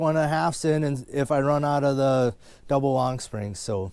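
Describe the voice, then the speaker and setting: A man's fairly high voice in an Upper Midwest US accent. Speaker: trapper. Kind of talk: casual vlog narration. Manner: fast; casual, filler-heavy.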